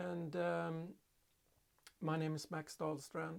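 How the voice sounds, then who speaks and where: A man is speaking. He has a Swedish accent. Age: 50s. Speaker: hobby potter. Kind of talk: casual vlog monologue. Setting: home pottery studio. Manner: halting, many fillers.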